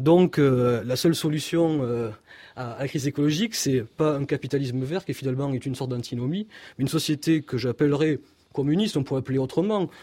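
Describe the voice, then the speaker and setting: A man with a southern French accent, a dark, mellow tone and fairly high pitch, fairly quick pace and ordinary pitch variation, on a very clean recording with a silent background. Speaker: philosopher. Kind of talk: radio interview.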